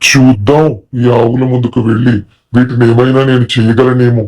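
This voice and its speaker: A man performs a cartoonish character voice at a medium pitch. His fairly slow delivery stays monotone and flat. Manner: scheming, thinking aloud.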